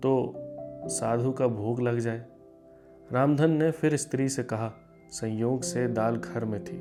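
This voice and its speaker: A man talks at a medium pitch with ordinary pitch variation. Music plays in the background. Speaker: theatre actor. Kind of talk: short story narration. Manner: emotional, performed.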